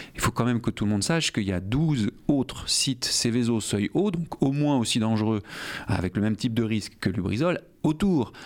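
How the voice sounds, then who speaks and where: At a moderate pace and medium pitch, a man talks in an unremarkable speaking voice with lively intonation and very even loudness. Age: 40s. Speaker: politician, mayoral candidate. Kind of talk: radio interview.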